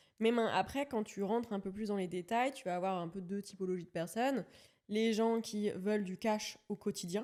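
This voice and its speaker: A woman's dark, mellow tone at medium pitch, fairly even intonation and a moderate pace. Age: 30s. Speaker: real estate investor and content creator. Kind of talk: podcast interview. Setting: video studio. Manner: casual, hesitant with many fillers.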